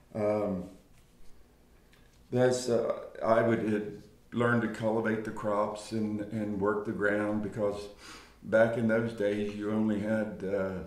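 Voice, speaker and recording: A man with an American accent and a fairly low pitch speaks with monotone, flat intonation at a very slow pace. Long, frequent pauses break up his speech, and audible room echo surrounds it. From US, Eastern Shore of Maryland (Talbot County). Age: 60s. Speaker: interviewee recounting his life. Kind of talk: oral history interview. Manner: halting, many fillers.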